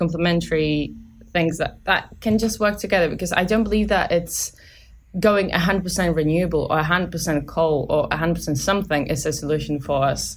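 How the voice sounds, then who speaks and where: A woman speaks with a Polish accent in a fairly low pitch and fairly even intonation. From Poland. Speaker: student team lead on a renewables project. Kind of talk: casual interview. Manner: halting, many fillers.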